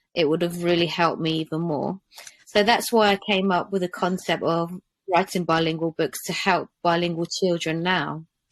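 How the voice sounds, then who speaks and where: Here a woman with an English accent talks at a moderate pace, her pitch fairly low and her intonation fairly even. The sound is dry and close, with no echo. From England. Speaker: children's book author. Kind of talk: interview podcast.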